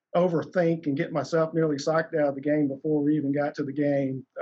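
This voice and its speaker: Music plays in the background as a man speaks with an American accent. His pitch is fairly high. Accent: Southern US, slight now. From South Alabama. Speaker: company CEO. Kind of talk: interview, personal storytelling.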